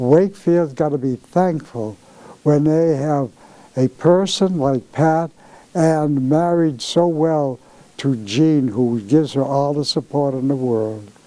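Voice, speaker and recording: A man's fairly high, dark, mellow voice with an American accent, very slow, with ordinary pitch variation. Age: 80s+. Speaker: founder of a scholarship organization. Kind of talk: interview. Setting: anniversary celebration event.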